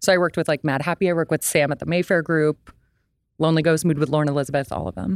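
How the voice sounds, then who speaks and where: Very fast speech comes from a woman at a very deep, low pitch with vocal fry. Her pitch variation is ordinary, and the sound is dry and close with no echo. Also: very clean recording, silent background. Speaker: podcaster with social work background. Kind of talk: casual chat.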